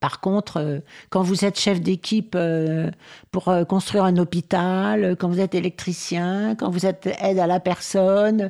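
A woman speaks at a fairly slow pace with a dark, mellow tone and fairly even intonation on a very clean recording with a silent background. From rural France. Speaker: housing rights activist. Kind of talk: radio interview.

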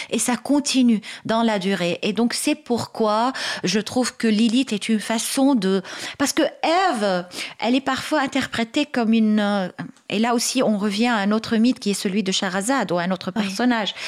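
Speaking at a moderate pace with an Arabic accent, a woman holds a very even loudness at a fairly high pitch. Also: ordinary pitch variation. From Lebanon. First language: Arabic (speaking French). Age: 40s. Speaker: writer and activist. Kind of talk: radio interview. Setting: radio studio.

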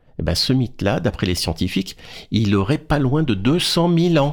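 A man speaks at a fairly slow pace, his pitch swinging very widely. The recording is very clean, with a silent background. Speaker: radio host. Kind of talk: radio presenting and storytelling. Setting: radio studio.

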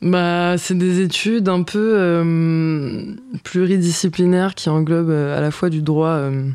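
This woman speaks very slowly in a fairly low voice with a dark, mellow tone and fairly even intonation. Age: 20s. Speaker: rapper. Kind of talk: radio interview.

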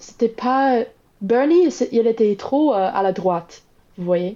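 Very slowly, a woman speaks with an English accent. Her pitch is fairly high and her tone dark and mellow. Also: quiet background. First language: English (speaking French). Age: 20s. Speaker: Biden voter interviewed. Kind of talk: interview. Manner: halting.

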